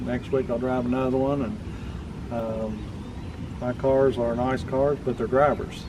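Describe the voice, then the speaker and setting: Amid noticeable background noise and audible room echo, a man speaks at a medium pitch and a moderate pace in a monotone, flat delivery. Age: old. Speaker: car collector. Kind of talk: casual chat.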